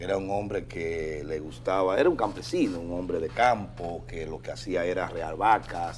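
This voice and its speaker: A very deep, low-pitched man at a moderate pace, with very wide pitch swings. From Dominican Republic, Bajo Yuna region. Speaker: prosecutor, lawyer. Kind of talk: talk show interview.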